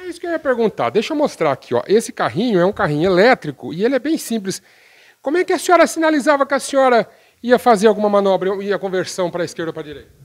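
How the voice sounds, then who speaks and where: Against a quiet background, a man with a high voice talks at a very fast pace, with very wide pitch swings and big shifts in loudness. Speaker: radio reporter. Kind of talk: news interview questions. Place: home room.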